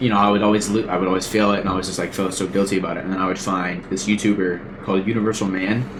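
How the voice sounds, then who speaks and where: A man's very fast, monotone, flat speech with hardly any pauses at a fairly low pitch, amid noticeable background noise and audible room echo. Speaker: podcast host. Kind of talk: casual chat.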